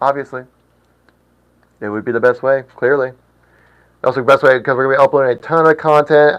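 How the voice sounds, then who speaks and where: A man with a plain, everyday voice talks at a fairly high pitch, his intonation fairly even. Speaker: livestream host for an aquarium shop. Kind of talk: live stream chat reading comments. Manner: casual, chatty with filler words.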